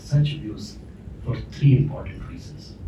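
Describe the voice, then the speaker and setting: A soft-spoken man talks at medium pitch and a fairly slow pace, with fairly even intonation. There is noticeable background noise and audible room echo. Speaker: consulate official giving welcome remarks. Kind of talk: formal welcome speech. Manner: hesitant, many fillers.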